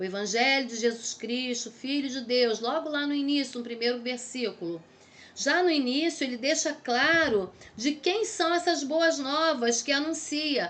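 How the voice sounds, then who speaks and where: A woman speaks fairly slowly with a high pitch and lively intonation. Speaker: theology teacher. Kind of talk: lecture. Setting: recorded video lesson.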